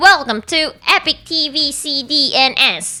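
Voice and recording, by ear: In a put-on character voice with an American accent, the speaker sounds high and nasal at a fairly slow pace.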